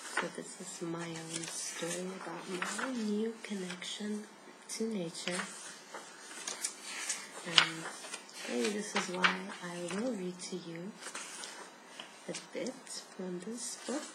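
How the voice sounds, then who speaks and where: Soft-spoken and very slow, the speaker leaves long, frequent pauses over noticeable background noise. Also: woman, medium pitch for a woman, ordinary pitch variation. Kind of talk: soft-spoken ASMR reading from a book. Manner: soft-spoken, relaxing.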